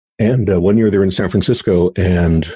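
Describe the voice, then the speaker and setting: A man speaks with a very deep, low pitch and fairly even intonation. His voice is somewhat breathy, with a dark, mellow tone. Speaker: futurist. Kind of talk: interview conversation about the future. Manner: thoughtful, hesitant with restarts.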